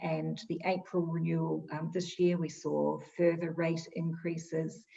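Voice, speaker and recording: In a New Zealand accent, a woman talks at a fairly slow pace. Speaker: insurance expert. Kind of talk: interview.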